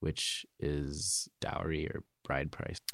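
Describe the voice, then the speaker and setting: A man speaks with an American accent at a very deep, low pitch with vocal fry. His intonation is fairly even, and the sound is dry and close with no echo. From Zimbabwe, Harare; early childhood in New Jersey. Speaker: college student. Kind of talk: interview storytelling. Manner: halting at times.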